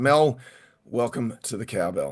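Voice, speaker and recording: An Australian accent against a quiet background. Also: man. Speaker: podcast host and event MC. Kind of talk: casual chat. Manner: halting.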